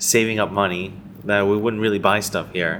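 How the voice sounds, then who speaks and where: A man with a fairly low pitch speaks at a moderate pace against noticeable background noise. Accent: American. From US Midwest, Chicago. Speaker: business owner. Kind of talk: interview.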